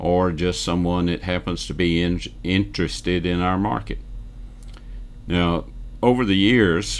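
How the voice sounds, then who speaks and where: The speaker, with a Southern US accent, goes at a fairly slow pace with long, frequent pauses. Pitch variation is ordinary. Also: man, very deep, low pitch for a man. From US South, Northwest Georgia. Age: 70s. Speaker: real estate newsletter publisher and video host. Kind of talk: casual monologue to camera.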